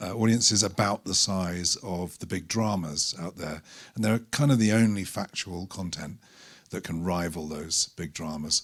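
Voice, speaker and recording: In a British accent, the voice moves at a moderate pace with ordinary pitch variation on a very clean recording with a silent background. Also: man, very deep, low pitch for a man. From Britain. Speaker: documentary filmmaker. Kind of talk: panel talk presentation. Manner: halting, many fillers.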